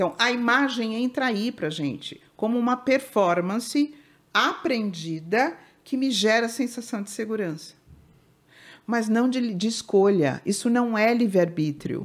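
Lively in intonation yet at a fairly slow pace, a woman with an unremarkable speaking voice talks at a fairly high pitch on a very clean recording with a silent background. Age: 60s. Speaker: family constellation therapist. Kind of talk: interview.

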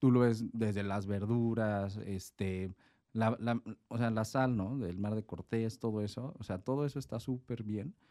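In a very clean recording with a silent background, a man speaks at a medium pitch and a fairly slow pace, his intonation fairly even and his tone dark and mellow. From Mexico City. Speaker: chef. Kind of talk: casual chat.

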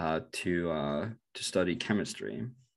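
A Norwegian accent in a very clean recording with a silent background. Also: man. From northern Norway. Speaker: bitcoin researcher. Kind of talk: interview. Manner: halting, many fillers and repetitions.

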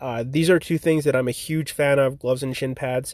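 With fairly even intonation, a man speaks at a moderate pace in a fairly high pitch. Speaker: ball hockey league founder and podcast host. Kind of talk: solo podcast update. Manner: monotone; casual, filler-heavy.

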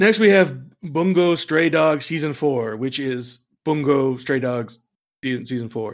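This man uses a normal speaking voice. It sits fairly high in pitch, with ordinary variation. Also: fairly slow pace. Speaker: interim podcast host. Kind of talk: casual chat podcast.

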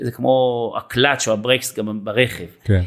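A man talks at a fairly slow pace and a medium pitch. The recording is very clean, with a silent background. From Israel, kibbutz. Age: 50s. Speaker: fitness trainer. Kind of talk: casual interview. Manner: hesitant fillers.

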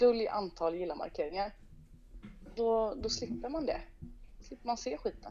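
Speaking at a moderate pace, a woman uses lively intonation and a dark, mellow tone. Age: 30s. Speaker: singer and entrepreneur. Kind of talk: casual interview chat. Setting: phone call. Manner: animated.

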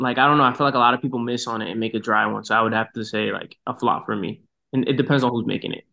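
A man talks very fast in an American accent at a medium pitch. His bright, sharp tone has vocal fry and fairly even intonation. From Boston, US. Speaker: marketing professional and designer. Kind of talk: casual interview.

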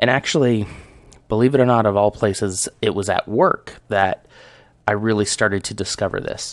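A man with an unremarkable speaking voice talks at a moderate pace and fairly low pitch over a quiet background. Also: fairly even intonation. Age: 30s. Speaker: podcaster. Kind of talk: casual solo talk show monologue.

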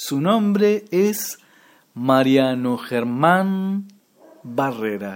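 Speaking very slowly with long, frequent pauses, a man at a fairly high pitch makes very wide pitch swings. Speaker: amateur radio show co-host. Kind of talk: casual joking chat.

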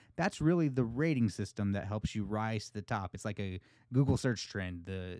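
A plain, everyday voice, a man with an American accent and lively intonation, on a very clean recording with a silent background. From United States. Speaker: podcast host. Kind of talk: casual chat.

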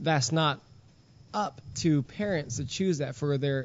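In a plain, everyday voice, a man speaks with a fairly high pitch. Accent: American. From Texas, Houston. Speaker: youth minister. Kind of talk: casual chat.

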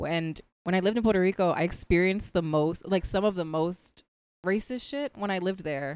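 With an American accent and ordinary pitch variation, the voice comes across in a dry, close sound with no echo. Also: woman. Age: 30s. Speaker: comedian. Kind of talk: casual chat.

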